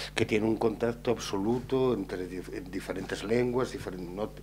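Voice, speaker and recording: A man with a plain, everyday voice speaks at a fairly low pitch. His pace is moderate and his pitch variation ordinary. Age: 50s. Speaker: writer. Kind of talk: panel discussion.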